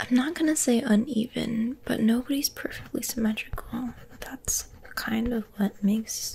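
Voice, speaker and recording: A soft-spoken woman with a gentle tone, ordinary pitch variation and a moderate pace. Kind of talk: soft casual role-play chat. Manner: soft-spoken, gentle and close. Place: home room. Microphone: phone near.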